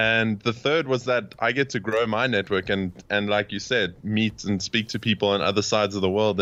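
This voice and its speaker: Speaking fairly quickly in a South African accent, a man uses a bright, sharp tone, a fairly low pitch and fairly even intonation. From South Africa, Cape Town. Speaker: podcast host, interviewed as guest. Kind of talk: interview. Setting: remote call.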